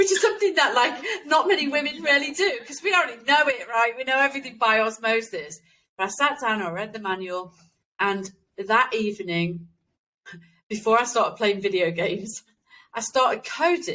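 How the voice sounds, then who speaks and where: Bright and sharp in tone, a woman's fairly high voice moves at a moderate pace with very wide pitch swings. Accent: East Midlands. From England, East Midlands (Nottingham). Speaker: game developer. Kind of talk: interview.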